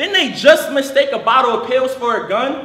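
In a room with audible echo, a man projects a raised voice at an extremely high pitch, with ordinary pitch variation and a moderate pace. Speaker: slam poet. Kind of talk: slam poetry performance. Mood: passionate, protesting. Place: stage.

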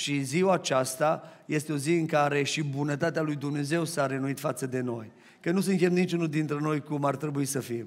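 Fairly even in intonation, a man talks at a moderate pace. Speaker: pastor. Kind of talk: sermon. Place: church. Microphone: headset.

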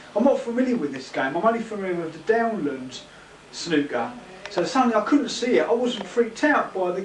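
Over noticeable background noise, a man with a high pitch talks at a fairly quick pace, his voice making very wide pitch swings. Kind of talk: casual banter and sports commentary. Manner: rambling, informal, halting.

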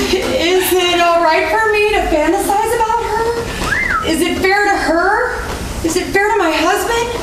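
Noticeable background noise and audible room echo accompany a woman speaking at a fairly slow pace with ordinary pitch variation. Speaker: stage actor. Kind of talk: theatrical monologue and rhymed verse. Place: stage. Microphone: camera far.

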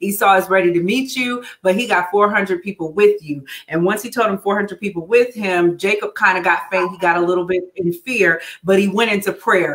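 A woman's voice at a moderate pace, ordinary pitch variation and hardly any pauses. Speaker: church minister. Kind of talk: Bible study teaching. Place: home room.

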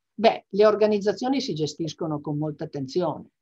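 In a quiet background, a woman talks at a moderate pace. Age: 60s. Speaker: business executive and association vice president; interviewee. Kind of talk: interview. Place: home room. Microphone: video call.

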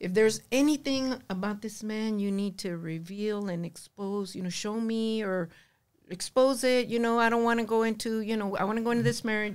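Over a quiet background, a woman talks at a fairly quick pace with fairly even intonation. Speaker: podcast guest. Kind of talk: interview answer. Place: studio. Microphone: studio mic.

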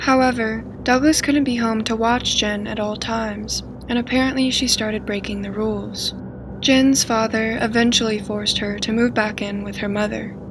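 A woman speaks at a moderate pace. Background noise is noticeable behind her. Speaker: true crime narrator. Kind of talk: scripted documentary narration.

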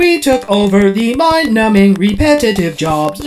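A put-on character voice, female-sounding, at a medium pitch for a woman and a moderate pace. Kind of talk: comic sketch acting. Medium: comedy sketch. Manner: prim, scolding, matter-of-fact.

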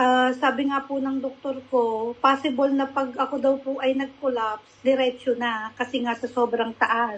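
Barely pausing, a woman speaks at a high pitch with monotone, flat intonation. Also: fairly slow pace. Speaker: product testimonial giver. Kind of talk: testimony. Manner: polite, uses po.

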